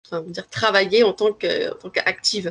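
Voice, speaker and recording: A woman speaks at a medium pitch. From Paris region, France. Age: 20s. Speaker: language trainer. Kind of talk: interview. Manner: hesitant, many fillers.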